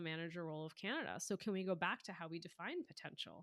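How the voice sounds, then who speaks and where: Using an ordinary speaking voice, a woman with an American accent speaks at a fairly quick pace. Her pitch sits fairly low and varies in an ordinary way. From United States. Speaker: author and inclusion leader. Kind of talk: podcast interview.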